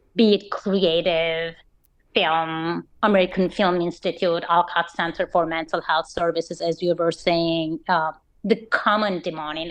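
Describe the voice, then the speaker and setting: A woman with a Turkish accent speaks at a fairly slow pace and fairly low pitch in monotone, flat intonation. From Turkey, Istanbul. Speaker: nonprofit fundraising professional. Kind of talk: interview.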